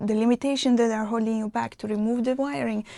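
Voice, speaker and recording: Her dark, mellow tone sits at a fairly high pitch as the woman keeps a fairly even intonation. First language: not English. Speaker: mindset coach. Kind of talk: motivational talk to camera.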